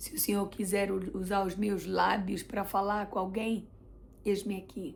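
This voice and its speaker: Speaking in a Brazilian accent, a woman uses a medium pitch with vocal fry at a fairly slow pace. Room echo can be heard in the recording. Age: 40s. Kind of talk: religious testimony vlog.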